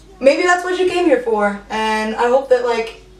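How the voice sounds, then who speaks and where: A woman's high voice comes through while music plays in the background. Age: 20s. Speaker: YouTuber. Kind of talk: casual chat. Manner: loud; animated.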